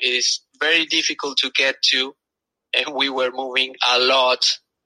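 A man with a South American Spanish accent talks at a moderate pace in a medium pitch. His tone is bright and sharp, and the sound is dry and close with no echo. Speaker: engineer and travel blogger. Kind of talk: casual interview.

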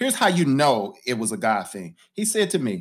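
Speaking in a St. Louis accent at a moderate pace, a man swings his pitch very widely on a very clean recording with a silent background. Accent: St. Louis American English. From US Midwest, St. Louis (North County). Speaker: pastor and community development leader. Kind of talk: interview conversation.

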